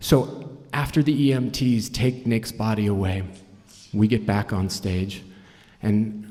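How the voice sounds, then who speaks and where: This man's voice is fairly low in pitch and somewhat breathy. It has a dark, mellow tone. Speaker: fundraising auctioneer and storyteller. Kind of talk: live storytelling performance. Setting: live stage, audience.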